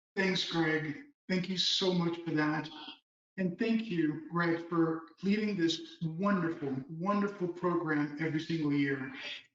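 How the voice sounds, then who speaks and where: Loudness stays very even while the intonation is fairly even, with room echo clearly audible. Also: man, high pitch for a man. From Miami, Florida (Cuban-born). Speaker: lawyer. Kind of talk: prepared speech.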